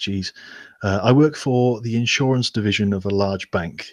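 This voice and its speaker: With a Welsh accent, a man speaks at a fairly low pitch. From Wales, Newport. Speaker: Nerf hobbyist YouTuber. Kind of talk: casual chat. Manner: halting.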